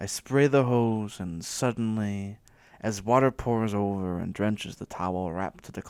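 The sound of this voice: Pitch varies in an ordinary way as the speaker reads in an unforced voice.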